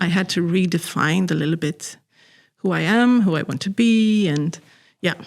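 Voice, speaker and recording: Recorded very cleanly against a silent background, a woman with a Swedish accent talks at a moderate pace, her pitch fairly low and its variation ordinary. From Sweden, Stockholm. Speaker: artist. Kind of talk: interview.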